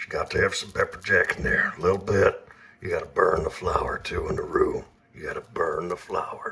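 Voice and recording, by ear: Put on as a character voice, this raspy delivery moves at a moderate pace. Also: man, extremely high pitch for a man.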